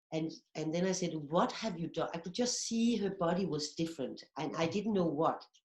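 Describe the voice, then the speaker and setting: This woman, with a plain, everyday voice, speaks at a moderate pace in a fairly low pitch with ordinary pitch variation. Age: 60s. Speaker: movement therapy teacher. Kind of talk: interview.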